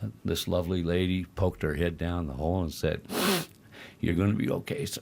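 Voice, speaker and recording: A man's very deep, low pitch. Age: 70s. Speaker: accident survivor. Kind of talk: interview.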